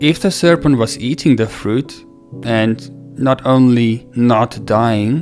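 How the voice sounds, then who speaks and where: The voice keeps ordinary pitch variation while music plays behind it. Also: man. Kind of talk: religious teaching talk.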